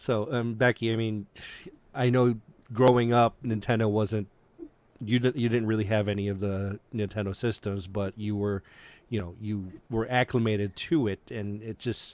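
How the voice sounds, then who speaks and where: An ordinary speaking voice at a moderate pace with fairly even intonation, captured in a very clean recording against a silent background. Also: man, fairly low pitch for a man. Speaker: gaming podcast moderator. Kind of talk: casual chat.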